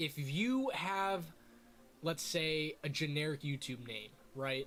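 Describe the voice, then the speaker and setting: Here a man talks in a fairly high-pitched voice with an animated tone. His intonation is lively. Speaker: YouTuber / streamer. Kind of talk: tutorial. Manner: loud; casual, animated.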